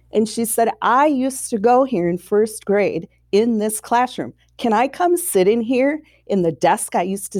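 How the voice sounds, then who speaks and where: A woman speaks with an American accent. Her pitch is fairly high and her intonation lively. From Minnesota, Saint Paul. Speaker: first grade teacher. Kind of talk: interview.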